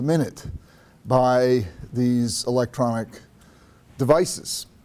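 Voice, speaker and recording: A man's dark, mellow tone. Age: 60s. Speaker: psychiatrist and author. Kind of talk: public talk to small audience. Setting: library talk without microphone. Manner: halting, frequent repetitions.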